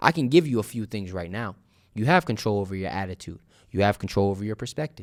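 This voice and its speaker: Over a silent background in a very clean recording, a man talks with lively intonation at a fairly low pitch. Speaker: podcast host. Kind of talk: solo podcast monologue. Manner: stumbling over words.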